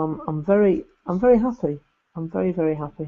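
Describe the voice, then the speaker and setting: Mumbling at a moderate pace, a man with a high pitch has a dark, mellow tone. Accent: English. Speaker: YouTuber doing alternative football commentary. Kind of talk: live stream chat reading viewer comments. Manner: halting, with frequent repetitions and fillers.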